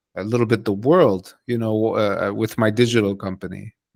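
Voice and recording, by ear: With vocal fry, a man talks at a fairly low pitch and moderate pace, keeping his intonation fairly even.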